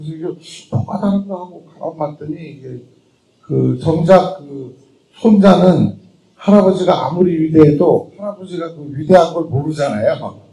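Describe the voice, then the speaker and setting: Lively in intonation, a man with a high pitch talks at a moderate pace. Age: 50s. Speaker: film director. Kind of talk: post-screening Q&A talk.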